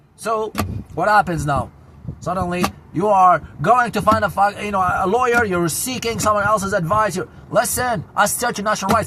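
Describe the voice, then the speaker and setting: A man with an Arabic accent speaks in a raised, projected voice at a high pitch, animated in tone and fairly quick, with ordinary pitch variation and noticeable background noise. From Syria, Damascus. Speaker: vlogger. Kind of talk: casual monologue. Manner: loud.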